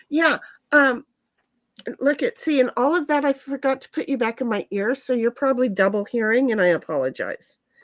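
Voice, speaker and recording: Speaking in an American accent at a moderate pace, a woman with a high pitch comes through a very clean recording with a silent background and a dry, close sound with no echo. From Colorado. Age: 60s. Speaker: live streamer and business owner. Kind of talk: casual chat. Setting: home, not in usual stream room.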